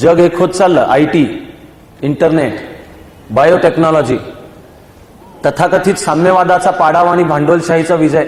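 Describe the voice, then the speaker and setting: A high-pitched male voice, very even in loudness, with fairly even intonation and noticeable background noise. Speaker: public speaker, lecturer. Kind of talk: public lecture / speech to an audience. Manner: fluent, earnest, oratorical.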